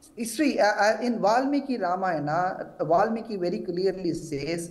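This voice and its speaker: There is audible room echo as a man with a high pitch and ordinary pitch variation speaks at a moderate pace. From South India. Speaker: temple activist and commentator. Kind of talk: TV news interview. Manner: halting, many false starts.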